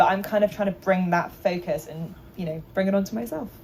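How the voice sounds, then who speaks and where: A normal speaking voice at a fairly quick pace. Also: woman. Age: 30s. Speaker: journalist. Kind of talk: panel discussion.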